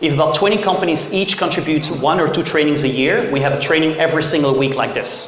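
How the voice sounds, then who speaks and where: Amid noticeable background noise and audible room echo, a man with a fairly high pitch and ordinary pitch variation talks at a very fast pace. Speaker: startup CEO giving a tech workshop. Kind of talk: workshop presentation. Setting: room with live audience. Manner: loud.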